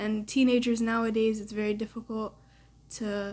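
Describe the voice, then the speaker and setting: With a Canadian accent, a woman talks at a moderate pace in a fairly high pitch, her fairly even intonation and voice somewhat breathy. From Canada. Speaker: daughter. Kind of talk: casual chat.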